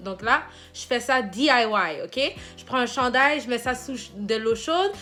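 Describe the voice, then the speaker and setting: Speaking at a moderate pace, a woman uses a high pitch and a bright, sharp tone with ordinary pitch variation. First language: English (speaking French). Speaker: hair care vlogger and nursing assistant. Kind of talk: hair care tutorial. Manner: casual, with hesitations.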